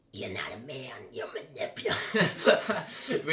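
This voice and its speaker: Putting on a character voice, a man speaks fairly slowly in a guttural, raspy tone. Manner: menacing, accusing.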